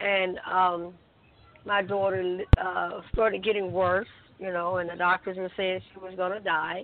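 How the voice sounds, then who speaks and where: Delivered at a fairly slow pace, the speech stays monotone and flat in intonation while the loudness swings widely. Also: woman, medium pitch for a woman. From Alabama. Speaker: gospel singer. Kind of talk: testimony.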